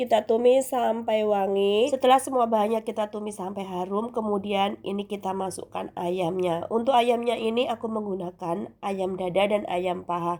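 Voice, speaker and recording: With a dark, mellow tone at a medium pitch, a woman speaks at a moderate pace with ordinary pitch variation and hardly any pauses in a very clean recording with a silent background. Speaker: cooking vlogger. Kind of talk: cooking tutorial. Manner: casual, chatty.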